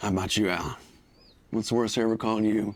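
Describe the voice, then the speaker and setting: Rattling off words at a very fast pace, a man puts on a raspy character voice with a fairly low pitch. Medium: short film. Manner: folksy, chuckling.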